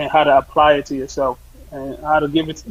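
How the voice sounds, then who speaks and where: A man with a fairly high pitch at a fairly quick pace, amid noticeable background noise. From Sierra Leone. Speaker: soccer coach. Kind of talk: interview.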